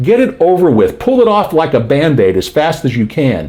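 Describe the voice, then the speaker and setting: Over noticeable background noise, an animated man with an American accent talks at a moderate pace, his fairly high pitch making very wide swings. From Florida, Miami Beach. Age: 60s. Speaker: self-help video host. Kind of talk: casual advice monologue.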